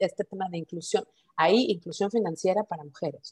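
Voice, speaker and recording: The voice is somewhat breathy, with a Mexican accent. It moves at a moderate pace with ordinary pitch variation. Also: woman. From Mexico. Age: 40s. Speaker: startup founder. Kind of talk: interview.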